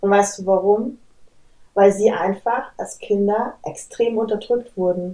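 Very slowly spoken, the words hold fairly even intonation. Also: woman, medium pitch for a woman. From Bavaria, Munich. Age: 30s. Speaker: human design coach. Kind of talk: podcast interview.

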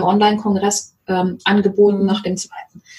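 The woman's intonation is flat and monotone. She speaks at a moderate pace. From Mecklenburg-Vorpommern, rural. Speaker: sales coach. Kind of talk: interview.

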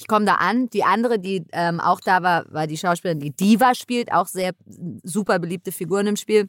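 A woman talks at a fairly quick pace in an animated tone, with big swings in loudness. Her pitch is medium, with ordinary pitch variation. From New York. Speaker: actress, comedian and video game voice actor. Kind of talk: casual interview chat.

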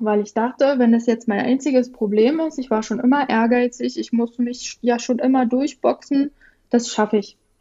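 With a dark, mellow tone and high pitch, a woman speaks at a moderate pace with fairly even intonation. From rural Germany (village). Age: 30s. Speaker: guest sharing eating disorder experience. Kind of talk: personal testimony.

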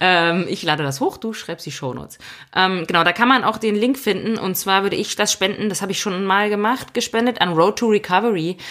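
The recording is very clean and the background silent. An ordinary speaking voice goes at a fairly quick pace, with ordinary pitch variation. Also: woman, medium pitch for a woman. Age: 30s. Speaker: podcast co-host, self-employed mountain biker. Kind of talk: casual chat.

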